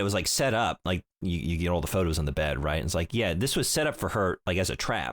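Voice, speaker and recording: Hardly any pauses break this man's very fast pace, and his loudness stays very even. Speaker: video game podcast host. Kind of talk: casual chat. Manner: fumbles words, repeats.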